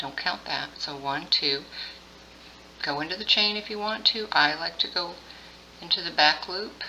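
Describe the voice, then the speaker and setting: Noticeable background noise fills the gaps as the speech stops for long, frequent pauses. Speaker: crochet tutorial host. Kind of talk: tutorial. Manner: slow.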